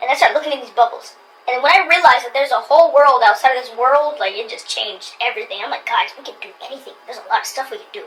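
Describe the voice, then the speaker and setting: Talking at a very fast pace with hardly any pauses, a woman uses a high pitch, very wide pitch swings and big swings in loudness over noticeable background noise. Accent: American. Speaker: YouTuber. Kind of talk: casual chat. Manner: animated.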